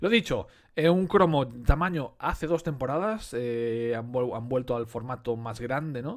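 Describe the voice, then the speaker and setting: A man with lively intonation talks at a fairly slow pace, and the background is quiet. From Galicia, Spain (Betanzos); Galicia, Spain. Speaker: sticker collector youtuber; collector streamer. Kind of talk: casual unboxing commentary. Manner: casual, conversational with fillers. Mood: enthusiastic, nostalgic. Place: home room.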